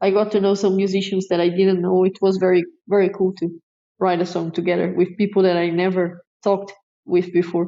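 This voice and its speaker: A woman speaks at a medium pitch in a flat monotone, her loudness very even. Her pace is fairly quick. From Brazil. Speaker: metal drummer. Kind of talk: interview. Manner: hesitant.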